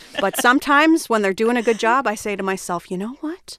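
A woman with an American accent, fairly high-pitched with lively intonation, at a moderate pace over noticeable background noise. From New Jersey. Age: 30s. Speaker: comedian and writer. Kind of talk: casual chat.

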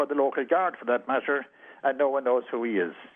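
A man speaks very fast with a Kerry accent. His pitch varies in an ordinary way. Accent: Irish (Kerry). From west of Ireland, County Kerry. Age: old. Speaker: retired police chief. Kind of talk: interview. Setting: phone call.

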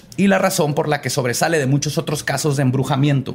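Somewhat breathy and fairly high-pitched, a man with a Mexican accent talks at a very fast pace. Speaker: podcast host, storyteller. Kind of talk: storytelling about paranormal cases in casual chat.

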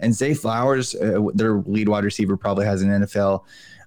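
This man has a plain, everyday voice, pitched fairly low, with ordinary pitch variation and a moderate pace. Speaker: football podcast host. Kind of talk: casual sports podcast discussion.

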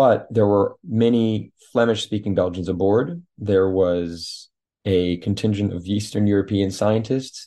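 A man talks at a fairly slow pace with a fairly low pitch. His pitch variation is ordinary, and the background is quiet. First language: French. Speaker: author. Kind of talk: interview. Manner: halting.

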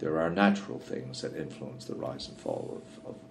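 Speaking in a Newfoundland accent at a fairly quick pace, a man with a very deep, low pitch is heard amid noticeable background noise and audible room echo. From Newfoundland, Canada. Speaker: wildlife biologist. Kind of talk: interview conversation. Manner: frequent fillers and hesitations.

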